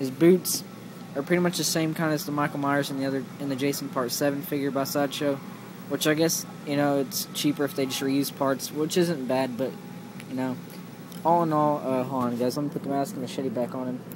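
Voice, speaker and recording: Noticeable background noise beneath talking at a fairly quick pace. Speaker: toy collector reviewer. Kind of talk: product review. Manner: fast; halting.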